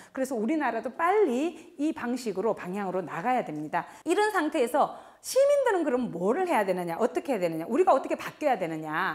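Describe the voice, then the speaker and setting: Very wide pitch swings mark this woman's high voice as she talks at a fairly quick pace with hardly any pauses. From Gyeongsang province, South Korea. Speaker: professor. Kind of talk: lecture.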